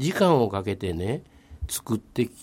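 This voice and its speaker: A man's dark, mellow tone comes through on a very clean recording with a silent background. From Nagata, Kobe, Japan. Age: 70s. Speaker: local community figure. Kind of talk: radio interview.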